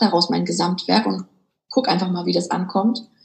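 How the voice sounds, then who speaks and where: Here a woman speaks at a very fast pace. Her pitch sits in the medium range. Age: 30s. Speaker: author and business coach. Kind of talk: interview.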